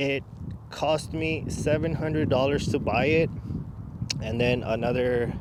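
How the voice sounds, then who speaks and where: Noticeable background noise and audible room echo surround this recording. A man speaks with a fairly high pitch and fairly even intonation. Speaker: car enthusiast YouTuber. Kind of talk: casual tutorial vlog. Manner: halting, stuttering a little.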